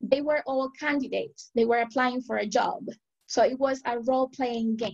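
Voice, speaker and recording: Over a quiet background, a woman speaks at a moderate pace in a high pitch with ordinary pitch variation. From Venezuela. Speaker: language teacher and researcher; language teacher. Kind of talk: webinar presentation. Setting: video call. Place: home room. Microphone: webcam.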